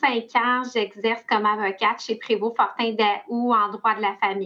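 Monotone, flat intonation at a very slow pace, in a Quebec accent. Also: woman. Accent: Québécois French. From Quebec, Laurentides. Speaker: family lawyer. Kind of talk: interview.

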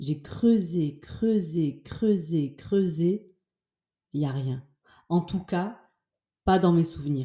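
Her voice is a woman's, fairly low in pitch, with a dark, mellow tone and a somewhat breathy quality. She speaks at a very slow pace with ordinary pitch variation and long, frequent pauses. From French-speaking village. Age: 40s. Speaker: podcast host, self-confidence coach. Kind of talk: casual monologue. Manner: animated.

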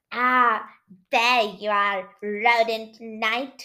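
A woman's put-on character voice, fairly high in pitch, with monotone, flat intonation. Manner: cackling.

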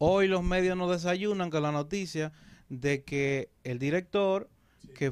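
There is a man with an ordinary speaking voice and ordinary pitch variation. He talks at a fairly slow pace against a quiet background. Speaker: pastor and political commentator. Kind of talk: political commentary.

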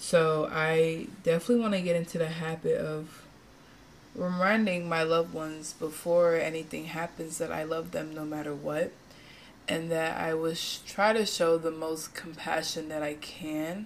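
In an ordinary speaking voice, a woman talks at a moderate pace with a fairly low pitch and fairly even intonation. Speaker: podcast reviewer. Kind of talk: casual chat.

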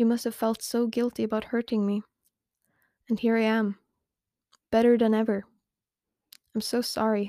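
A woman speaks in a fairly high, dark and mellow voice with a deadpan, monotone delivery at a moderate pace. Her long, frequent pauses sit in a very clean recording with a silent background. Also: dry, close sound with no echo. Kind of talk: spoken word poem, confessional monologue addressed to an ex-lover. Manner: halting, hushed and emotionally numb, with hesitant restarts; flat, deadpan, bitterly self-accusing.

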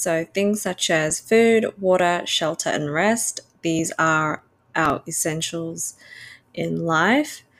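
In an Australian accent, a woman talks at a very slow pace with a fairly low pitch and ordinary pitch variation. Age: 20s. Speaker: podcast host. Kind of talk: casual solo monologue. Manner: hesitant with fillers.

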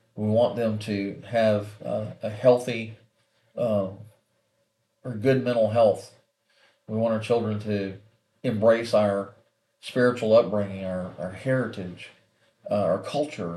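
In an American accent, the speaker goes at a fairly slow pace with long, frequent pauses. The tone is dark and mellow, and the intonation fairly even. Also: man, medium pitch for a man. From USA. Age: 60s. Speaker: podcast host, parent. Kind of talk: monologue podcast, personal story. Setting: video podcast.

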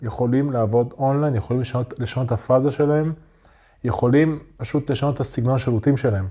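The man's tone is dark and mellow, and his words come fairly quickly. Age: 30s. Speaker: online entrepreneur, community owner. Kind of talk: casual interview chat. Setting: studio.

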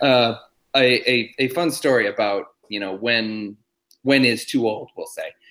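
A man with an American accent has an unremarkable speaking voice at a medium pitch. He talks at a fairly slow pace with fairly even intonation. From Massachusetts. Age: 30s. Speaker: stuntman. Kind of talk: casual chat.

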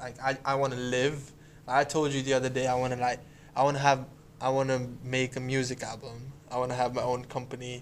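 Intonation stays monotone and flat. The pace is fairly quick. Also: man, medium pitch for a man. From India. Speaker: podcast co-host. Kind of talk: casual chat.

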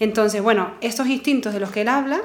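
With a Canarian accent, a woman talks with ordinary pitch variation. Noticeable background noise and audible room echo fill the recording. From Canary Islands. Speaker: psychologist. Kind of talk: casual chat.

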